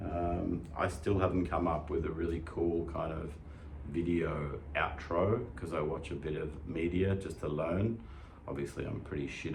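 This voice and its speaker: With an Australian accent, a man speaks at a moderate pace in a very deep, low voice, with noticeable background noise behind him. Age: 50s. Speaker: fitness channel host, lifter. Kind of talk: casual talk to camera. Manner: casual, conversational, hesitant.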